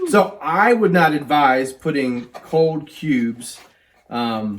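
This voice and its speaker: The man speaks at a very slow pace. His pitch is fairly high, and his intonation is lively. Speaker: whiskey reviewer. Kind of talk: casual chat.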